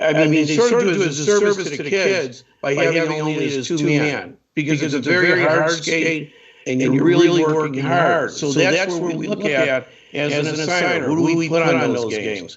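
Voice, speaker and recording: Against noticeable background noise, a man speaks at a moderate pace in a fairly high voice with ordinary pitch variation. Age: 60s. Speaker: hockey referee assigner. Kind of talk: interview on live stream show.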